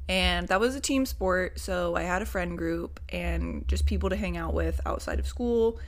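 Hardly any pauses, over noticeable background noise and audible room echo. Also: woman, moderate pace. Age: 20s. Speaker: podcast host. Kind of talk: personal monologue. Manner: casual, filler-heavy.

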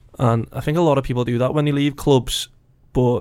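He speaks with a Liverpool accent at a fairly quick pace. The man's intonation stays monotone and flat. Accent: Scouse. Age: 20s. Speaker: non-league footballer. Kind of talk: casual interview.

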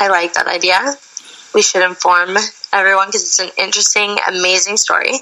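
A woman speaks at a medium pitch with fairly even intonation. Her pace is fairly quick, and noticeable background noise runs underneath. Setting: phone call.

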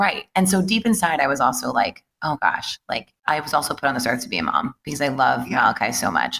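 Recorded dry and close with no echo, a woman with a very deep, low pitch and vocal fry races along very fast, hardly pausing, with a bright, sharp tone and very wide pitch swings. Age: 30s. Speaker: fitness studio owner. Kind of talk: casual chat. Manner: animated.

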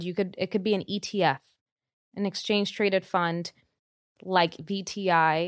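Against a quiet background, a woman with a Spanish accent speaks at a medium pitch in a dry, close sound with no echo. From Dominican Republic. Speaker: personal finance expert. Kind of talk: casual interview chat. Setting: studio.

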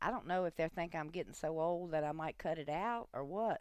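At a fairly quick pace, a woman with a fairly low pitch and a plain, everyday voice speaks on a very clean recording with a silent background. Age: 60s. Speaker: host's mother. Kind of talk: casual chat. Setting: studio.

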